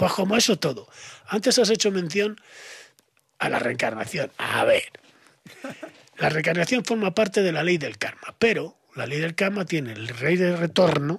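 A man's high voice with a Spanish accent and lively intonation, at a moderate pace with long, frequent pauses, in a dry sound with no echo and a quiet background. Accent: Spanish (Spain). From Spain. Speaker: esotericism expert; podcast guest. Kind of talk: podcast interview. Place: studio. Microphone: studio mic.

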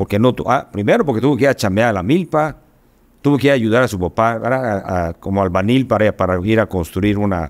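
Over a quiet background, a man talks at a very fast pace. His pitch variation is ordinary. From Yucatán, Mexico. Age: 60s. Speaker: state education official and businessman; guest. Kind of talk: podcast interview. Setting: studio. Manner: halting, many repetitions and fillers. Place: studio. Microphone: studio mic.

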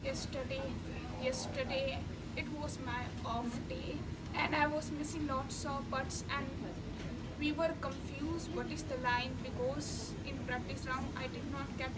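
Loud background noise nearly swamps a woman talking at a fairly slow pace. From India. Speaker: professional golfer. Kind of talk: post-round interview. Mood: calm, confident.

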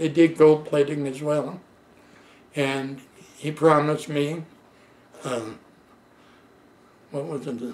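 Speaking at a very slow pace with long, frequent pauses, a man keeps a monotone, flat intonation. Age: 80s+. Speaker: retired plating worker telling life story. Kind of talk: oral history interview. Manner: halting. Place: home room. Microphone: camera far.

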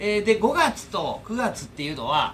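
With light background noise behind him, a man talks at a moderate pace in a high pitch that swings very widely. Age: 40s. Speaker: YouTuber and air-conditioner installation tradesman; YouTuber. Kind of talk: casual vlog monologue. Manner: rambling with many fillers. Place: home room. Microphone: phone near.

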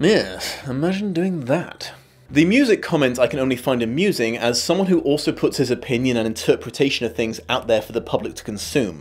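Speaking with a British accent, a man with a fairly high voice moves at a fairly quick pace with lively intonation and hardly any pauses. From Britain. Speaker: YouTube video essayist. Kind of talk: scripted narration. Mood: wry, sarcastic.

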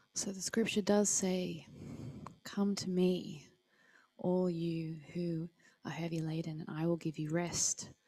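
With an Australian accent, a woman speaks very slowly in a fairly low, dark and mellow voice, her intonation fairly even and her pauses long and frequent. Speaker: service co-host. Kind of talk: church service hosting and prayer. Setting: church hall, livestreamed. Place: church. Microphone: handheld.

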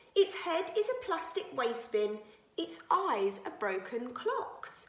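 A woman's high-pitched, sing-song voice, animated and warm in tone, at a fairly slow pace with audible room echo. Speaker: nursery teacher. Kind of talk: reading poems aloud to young children, playful storytelling performance. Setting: video message to pupils. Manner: animated, expressive, sing-song with teacher-like clarity; warm, cheerful, gently paced for small children. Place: home room. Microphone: phone near.

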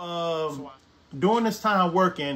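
A man with a Southern US accent, at a fairly slow pace. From Brookhaven, Mississippi. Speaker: artist and former sous chef. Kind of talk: personal life story told to camera. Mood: reflective, earnest. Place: home room.

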